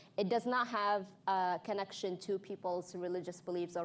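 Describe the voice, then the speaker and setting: A woman with a non-native accent, a medium pitch, fairly even intonation and a fairly quick pace. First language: not English. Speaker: panel moderator. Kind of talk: panel introduction. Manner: halting, with self-corrections.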